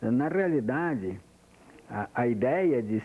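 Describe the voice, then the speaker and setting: A man talks in a dark, mellow tone with very wide pitch swings. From interior of São Paulo state, Brazil. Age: 60s. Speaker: retired engineer giving oral history. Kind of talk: oral history testimony. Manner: halting, with frequent repetitions.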